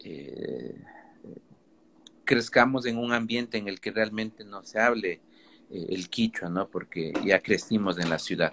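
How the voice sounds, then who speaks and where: A man with a fairly low pitch talks at a fairly slow pace, using ordinary pitch variation. His loudness swings widely, and he takes long, frequent pauses. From Ecuador, Kichwa Otavalo raised in the city. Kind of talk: live online talk. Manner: halting, many fillers.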